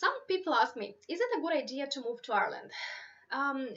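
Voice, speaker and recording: Talking at a fairly quick pace, a woman with a Romanian accent has a bright, sharp tone and ordinary pitch variation. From Moldova. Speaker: YouTuber giving advice on moving abroad. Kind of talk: live stream Q&A. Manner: casual, filler-heavy.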